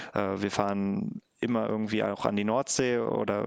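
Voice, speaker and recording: This is a man with a fairly low pitch. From Germany, Harz (Lower Saxony). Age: 20s. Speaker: engineer and volunteer youth camp leader. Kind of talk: casual interview. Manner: hesitant, many filler sounds.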